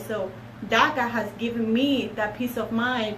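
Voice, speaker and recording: A woman talks at a fairly high pitch. Audible room echo and noticeable background noise surround her. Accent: non-native. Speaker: paralegal. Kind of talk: casual chat. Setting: live stream.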